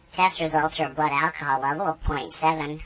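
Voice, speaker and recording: This is a put-on character voice at a middle pitch. It moves at a fairly quick pace. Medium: machinima. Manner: formal, flat.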